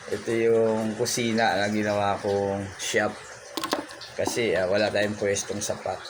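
Fairly slow male speech at medium pitch, marked by noticeable background noise and audible room echo. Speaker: pastor and craftsman vlogger. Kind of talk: casual vlog talk and tutorial. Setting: home kitchen workshop. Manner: halting, many fillers.

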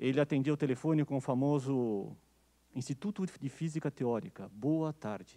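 A man's dark, mellow tone at a fairly high pitch, with ordinary pitch variation, a moderate pace and a quiet background. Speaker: physics professor, event organizer. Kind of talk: ceremonial speech. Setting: stage with audience. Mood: warm, nostalgic. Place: classroom. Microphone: handheld.

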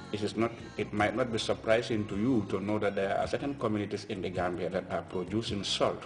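A man's fairly low voice at a fairly quick pace, with faint music in the background. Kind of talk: interview answer. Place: office.

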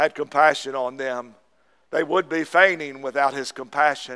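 The speaker has an Appalachian accent. The background is quiet. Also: man. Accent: Southern US (Appalachian). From US South, East Tennessee. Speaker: Baptist pastor. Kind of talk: Sunday morning sermon, exhorting congregation on tithing and giving. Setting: church service with congregation. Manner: fervent, punctuating with repeated amens; folksy, repetitive with verbal fillers. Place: church.

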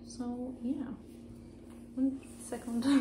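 A woman talks against noticeable background noise. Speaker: home cooking vlogger. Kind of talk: casual vlog chat. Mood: relaxed, amused. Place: kitchen. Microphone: phone near.

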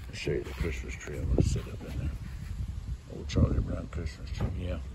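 The pace is fairly quick. Loud background noise sits behind the voice. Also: man. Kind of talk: casual vlog chat. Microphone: phone near.

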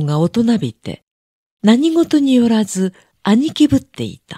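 Very slowly, a woman speaks in a dark, mellow, somewhat breathy tone with very wide pitch swings. The recording is very clean and silent behind her, with a dry, close sound and no echo. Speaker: audiobook narrator. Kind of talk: reading aloud.

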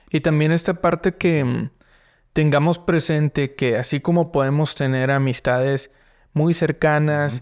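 A man's fairly high voice, fairly even in intonation and fairly slow, over a quiet background. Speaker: podcast host. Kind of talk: casual interview. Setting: studio. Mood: relaxed, friendly. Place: studio. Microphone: studio mic.

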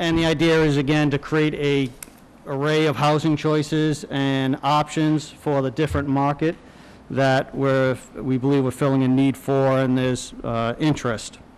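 A man talks at a moderate pace with fairly even intonation and very even loudness. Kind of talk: public meeting presentation. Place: meeting room. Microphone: podium.

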